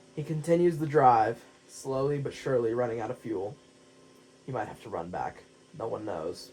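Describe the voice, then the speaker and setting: Over noticeable background noise, a man at medium pitch talks at a moderate pace with lively intonation and long, frequent pauses. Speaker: gaming video narrator. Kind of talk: story narration over gameplay. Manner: some stuttering.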